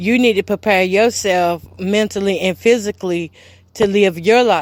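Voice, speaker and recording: A woman's unremarkable speaking voice at a moderate pace with ordinary pitch variation. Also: very clean recording, silent background. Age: 40s. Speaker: podcast host. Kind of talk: personal testimony. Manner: emotional, repetitive.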